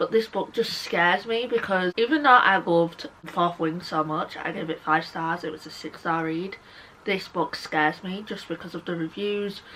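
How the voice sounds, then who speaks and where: A woman with a British accent speaks with ordinary pitch variation. Noticeable background noise can be heard. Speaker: book YouTuber. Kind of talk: casual chat. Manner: animated.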